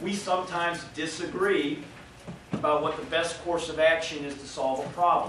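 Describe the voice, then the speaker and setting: A man's fairly high voice at a fairly quick pace, fairly even intonation, with noticeable background noise and audible room echo. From Chicago area. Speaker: state legislator. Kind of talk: speech to audience.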